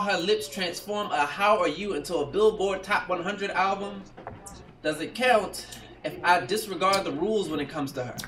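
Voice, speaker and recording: A man talks in a raised, projected voice at a moderate pace with ordinary pitch variation, over light background noise. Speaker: spoken-word poet. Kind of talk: spoken-word poetry performance. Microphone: camera far.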